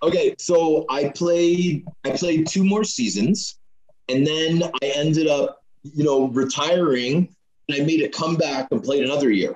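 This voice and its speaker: In a normal speaking voice with a Canadian accent, a man talks at a fairly slow pace and fairly high pitch, with very even loudness and ordinary pitch variation. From Canada, Scarborough (Toronto). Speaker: retired hockey player. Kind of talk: podcast interview.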